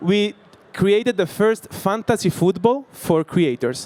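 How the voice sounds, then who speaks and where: Speaking with an Italian accent, a man uses a high pitch and lively intonation. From Italy. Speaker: startup founder. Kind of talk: sales pitch. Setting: stage with audience. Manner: halting.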